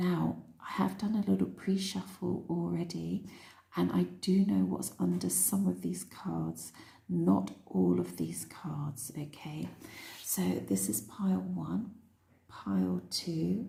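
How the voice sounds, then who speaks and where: A soft-spoken woman whispering at a very slow pace. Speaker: tarot reader. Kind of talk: tarot reading. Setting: room with windows open at night.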